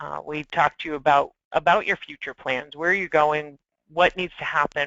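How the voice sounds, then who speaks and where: A woman with a normal speaking voice delivers her words at a moderate pace, her intonation fairly even. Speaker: solutions engineer presenting a webinar. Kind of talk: webinar presentation.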